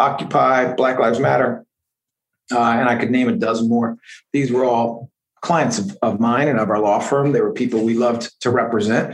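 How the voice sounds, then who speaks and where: Speaking with a normal speaking voice, a man keeps a moderate pace and ordinary pitch variation. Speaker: district attorney. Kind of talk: casual interview.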